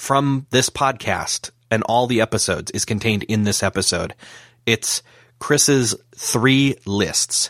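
At a fairly slow pace, a man with an American accent speaks at medium pitch in a dry, close sound with no echo, on a very clean recording with a silent background. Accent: flat, plain American. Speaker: podcast host.

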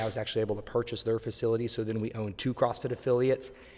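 A man speaks in a medium pitch. He has an American accent. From Oklahoma, Tulsa. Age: 30s. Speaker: personal trainer. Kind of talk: interview. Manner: enthusiastic.

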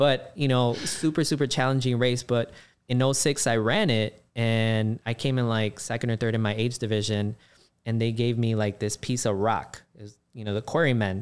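In a Chicago accent, a man talks at a moderate pace and medium pitch, with fairly even intonation and very even loudness. The recording is very clean, with a silent background. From Chicago, South Side. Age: 40s. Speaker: race organizer and runner. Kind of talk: casual chat.

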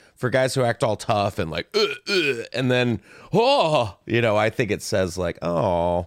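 Speaking at a fairly slow pace with lively intonation, a man with an unremarkable speaking voice and medium pitch comes through dry and close with no echo in a very clean recording with a silent background. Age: young. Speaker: comedian. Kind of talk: casual chat.

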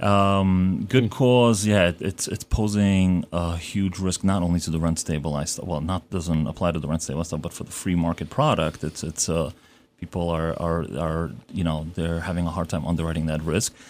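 A man with a New York accent speaks at a moderate pace. His pitch is very deep and low, with ordinary variation. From Brooklyn, New York (emigrated from Uzbekistan at seven). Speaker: real estate broker. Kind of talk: radio interview. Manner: halting, many fillers.

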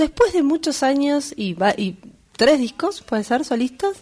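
Noticeable background noise sits behind a woman speaking at a fairly slow pace. Her high voice swings very widely in pitch. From Buenos Aires suburbs (conurbano), Argentina. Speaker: radio host. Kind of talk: casual chat. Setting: studio.

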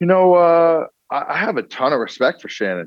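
This is a man with a normal speaking voice. His pitch varies in an ordinary way. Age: 20s. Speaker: former football player. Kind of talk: interview.

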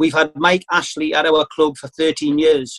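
A man with a Geordie accent speaks at a fairly slow pace, the sound dry and close with no echo. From northern England, Newcastle. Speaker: football fan representative. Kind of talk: speech at online town hall. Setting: video call.

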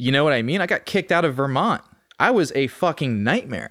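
With an American accent, a man talks in a fairly high voice with lively intonation, an unremarkable speaking voice on a very clean recording with a silent background. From Austin, Texas. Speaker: recovering addict. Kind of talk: casual chat.

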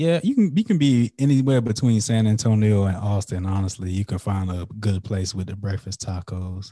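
A man with an unremarkable speaking voice talks at a moderate pace with hardly any pauses, his pitch fairly low and its variation ordinary, on a very clean recording with a silent background. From US South, South Carolina (Florence). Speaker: podcaster and entrepreneur. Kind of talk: casual chat.

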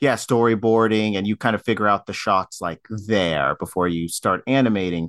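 An unremarkable speaking voice goes at a moderate pace with ordinary pitch variation and hardly any pauses, sounding dry and close with no echo against a quiet background. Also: man, fairly low pitch for a man. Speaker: film podcast guest. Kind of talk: casual chat.

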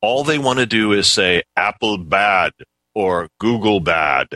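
Using a robotic, put-on character voice, a man speaks at a fairly slow pace and fairly low pitch with very even loudness, in a dry, close sound with no echo.

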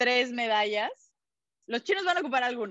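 A woman is speaking in a high voice. Her tone is bright and sharp. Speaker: sports journalist. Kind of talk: casual chat.

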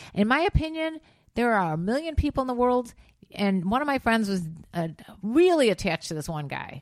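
The speaker talks at a fairly quick pace in an animated tone, with very wide pitch swings. The recording is very clean, with a silent background. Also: woman, fairly high pitch for a woman. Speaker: podcast co-host. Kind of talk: casual chat.

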